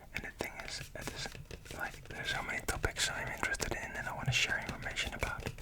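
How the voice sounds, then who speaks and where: Whispering at a moderate pace, a man sounds breathy against noticeable background noise. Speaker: ASMR YouTuber. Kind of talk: ASMR whisper ramble. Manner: whispered, close-up, breathy.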